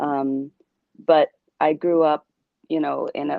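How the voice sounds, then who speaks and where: A woman with a very deep, low pitch speaks at a fairly slow pace in a monotone, flat intonation. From Puerto Rican, New York. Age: 40s. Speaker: abuse survivor. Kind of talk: testimony.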